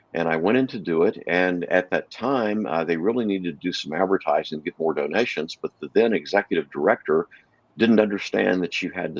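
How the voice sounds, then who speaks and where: A man with a very deep, low pitch speaks at a fairly quick pace with ordinary pitch variation. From Texas (Texarkana). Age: 60s. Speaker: animal rescue co-founder and salesman. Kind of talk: interview chat.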